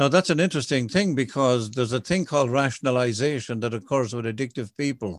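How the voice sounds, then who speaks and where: The speaker has an Irish accent. The intonation is lively. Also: man. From southwest Ireland (County Kerry). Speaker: recovering alcoholic speaker. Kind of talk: testimony.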